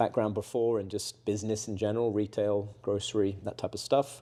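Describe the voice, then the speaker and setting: On a very clean recording with a silent background, a man with an English accent speaks in a dark, mellow tone with monotone, flat intonation. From southwest England. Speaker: roofing company salesperson, former basketball coach. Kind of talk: casual interview. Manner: hesitant, many fillers and repeats.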